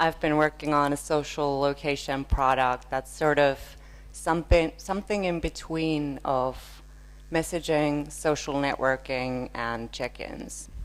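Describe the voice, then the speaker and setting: This woman speaks with a Finnish accent. Her pace is fairly slow. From northern Finland. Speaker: user researcher. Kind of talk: conference keynote.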